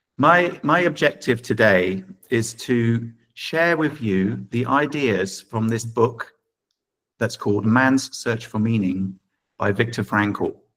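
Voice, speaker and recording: With an English accent, a man at medium pitch talks at a very slow pace using lively intonation. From England. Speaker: professor. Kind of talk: lecture.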